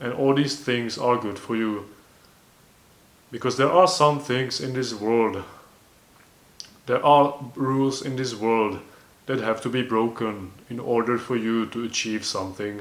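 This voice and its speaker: A man with a non-native accent and a medium pitch speaks at a fairly slow pace with fairly even intonation and long, frequent pauses. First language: not English. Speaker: self-improvement vlogger. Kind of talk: casual monologue. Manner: halting, with self-corrections.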